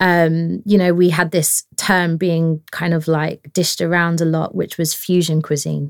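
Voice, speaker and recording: With an unremarkable speaking voice, a woman talks at a fairly slow pace, fairly low in pitch with fairly even intonation, in a dry, close sound with no echo. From London, England. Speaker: chef and food stylist. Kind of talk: interview. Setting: studio.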